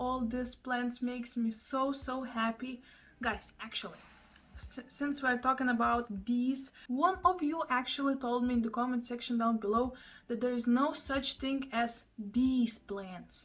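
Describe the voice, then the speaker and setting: A fairly slow delivery in a Russian accent, the intonation fairly even. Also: woman. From Russian-speaking, Eastern Europe. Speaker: houseplant vlogger. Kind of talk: casual vlog talk to camera.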